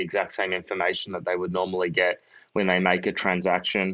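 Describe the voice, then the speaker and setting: Against a quiet background, a man with a fairly low pitch speaks in an Australian accent. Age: 30s. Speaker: startup founder and CEO. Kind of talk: interview. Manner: halting, many fillers.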